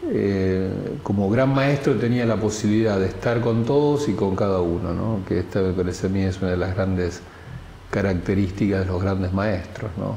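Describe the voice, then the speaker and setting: A man talks with ordinary pitch variation while noticeable background noise and audible room echo fill the recording. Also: moderate pace. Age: 60s. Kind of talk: testimony. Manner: halting, with many repetitions and fillers.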